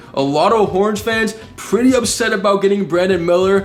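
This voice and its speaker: A man's animated, fairly quick speech with ordinary pitch variation and noticeable background noise. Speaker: sports video creator. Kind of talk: casual commentary. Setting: face cam recording. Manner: fast.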